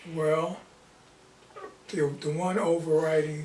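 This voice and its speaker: Noticeable background noise and audible room echo around very slow speech. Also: man. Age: 70s. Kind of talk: casual chat.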